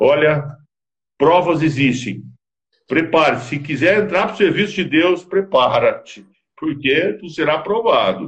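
A man's plain, everyday voice, fairly high in pitch, at a fairly slow pace with lively intonation. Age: 50s. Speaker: business consultant and marriage counselor. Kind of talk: interview on a live stream.

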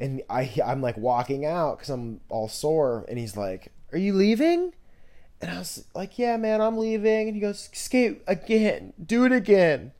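A man talks at a fairly slow pace, his loudness swinging widely. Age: 20s. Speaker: podcast host. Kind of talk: casual monologue. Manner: animated.

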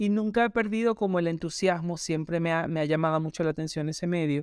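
Recorded very cleanly against a silent background, a man with a high pitch talks with ordinary pitch variation in a dry, close sound with no echo. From Venezuela, Maracaibo. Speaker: podcaster. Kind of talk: personal monologue. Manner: hesitant, with fillers.

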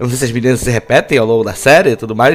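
Words come very fast from a man whose pitch is medium. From Búzios, Rio de Janeiro state, Brazil. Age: 20s. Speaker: podcast host. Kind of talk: casual chat. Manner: hesitant, rambling delivery with fillers and laughs.

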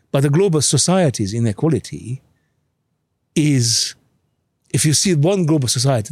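Somewhat breathy, a man speaks at a fairly high pitch and a moderate pace. His pitch swings very widely, and the sound is dry and close with no echo. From Hungary. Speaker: behavioral scientist. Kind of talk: casual chat.

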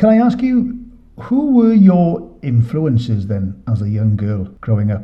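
The man talks fairly slowly. He speaks with a British accent. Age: 50s. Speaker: podcast host. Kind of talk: interview.

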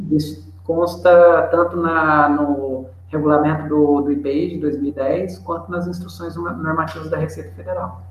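Over noticeable background noise, a man's fairly high pitch moves in very wide swings. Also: fairly slow pace. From Brazil, interior of São Paulo state. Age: 40s. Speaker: trading company partner, tax and import expert. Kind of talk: webinar expert explanation. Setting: online webinar.

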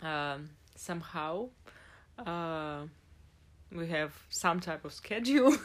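Slowly and with long, frequent pauses, a woman with a Russian accent speaks at a very slow pace in a fairly low pitch, her intonation lively. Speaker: podcast co-host. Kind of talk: casual chat. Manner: halting.

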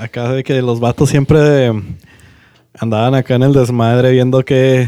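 Speaking in a dark, mellow tone, a man keeps a medium pitch and a moderate pace with monotone, flat intonation. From Monterrey, Nuevo León, Mexico. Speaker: podcast co-host. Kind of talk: casual chat.

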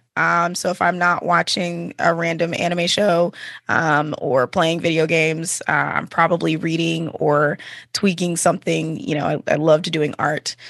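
This woman has an American accent and a fairly low pitch with vocal fry. Her pace is moderate and her intonation fairly even. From Texas, Dallas-Fort Worth area. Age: 30s. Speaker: podcaster and streamer. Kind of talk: casual interview chat.

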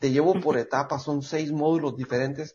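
Somewhat breathy and fairly quick, a man talks with fairly even intonation. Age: 50s. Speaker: podcast co-host, fitness author. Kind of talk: casual chat.

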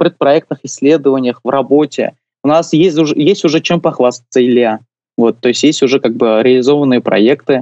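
Recorded with a dry, close sound and no echo, a man talks at a moderate pace in a fairly high pitch with ordinary pitch variation. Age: 20s. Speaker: university administrator and youth urban-planning activist. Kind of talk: radio interview. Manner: hesitant, many filler sounds.

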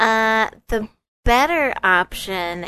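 A woman is speaking. Her tone is bright and sharp. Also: quiet background. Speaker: podcast host. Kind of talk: casual chat. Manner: animated, jokey.

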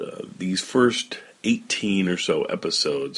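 A man is speaking. His tone is relaxed. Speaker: podcast host presenting old radio shows. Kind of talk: casual podcast intro. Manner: relaxed, chatty, conversational.

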